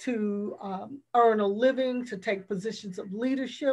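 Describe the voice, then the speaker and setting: Against a quiet background, a woman with a fairly high pitch talks with fairly even intonation. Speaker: professor. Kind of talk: panel discussion. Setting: online webinar, video call. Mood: earnest, serious. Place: home room. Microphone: video call.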